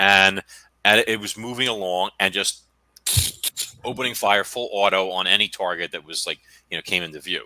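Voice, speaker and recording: A man with an American accent speaks at a moderate pace in a fairly low, bright and sharp voice, leaving long, frequent pauses, in a dry, close recording with no echo. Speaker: podcast host and author. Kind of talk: casual interview chat. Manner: halting, many fillers.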